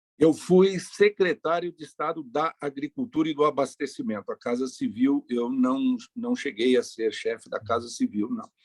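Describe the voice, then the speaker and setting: A man with a fairly high pitch talks with very wide swings in pitch and hardly any pauses. The sound is dry and close, with no echo. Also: moderate pace. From Brazil, Paraná (north, rural). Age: 60s. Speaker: politician. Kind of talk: interview.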